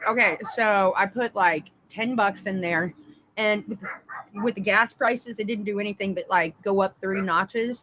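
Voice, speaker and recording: A woman with a normal speaking voice talks at a moderate pace, her medium pitch showing ordinary variation. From Indiana, US Midwest. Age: 30s. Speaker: livestreamer. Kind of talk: casual live-stream chat. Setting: live stream.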